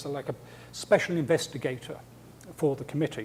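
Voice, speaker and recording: In an English accent, a man speaks at a fairly high pitch. His tone is dark and mellow, and somewhat breathy. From England. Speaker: scientist and lecturer. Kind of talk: lecture. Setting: seminar with audience. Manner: hesitant with repetitions.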